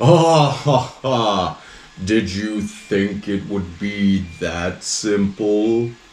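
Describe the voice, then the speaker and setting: Putting on a character voice, a man speaks in a booming, fairly low pitch at a very slow pace. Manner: earth-shattering, menacing.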